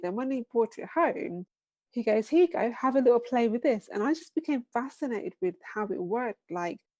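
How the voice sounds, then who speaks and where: With a British accent, the speaker talks at a fairly quick pace with lively intonation. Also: woman. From England. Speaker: business founder. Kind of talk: podcast interview.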